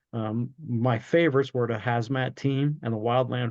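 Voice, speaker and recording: With an American accent, a man speaks at a moderate pace and medium pitch. His intonation stays monotone and flat. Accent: New Jersey accent, stronger when cranked up. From South Jersey, Cumberland County. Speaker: retired fire chief and leadership coach. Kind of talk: interview conversation.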